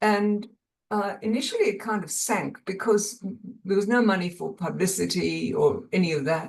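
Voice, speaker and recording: Here a woman speaks at a fairly slow pace with vocal fry. Her pitch sits at a medium level. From South Africa (Bellville). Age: 70s. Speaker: crime novelist. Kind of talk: casual talk on a video call. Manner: halting, many repeated words.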